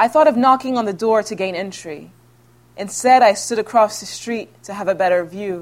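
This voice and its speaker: A normal speaking voice from a woman with an American accent, medium pitch and ordinary pitch variation. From Houston, Texas. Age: 30s. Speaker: author. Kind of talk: reading aloud; author talk and Q&A. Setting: library event with audience.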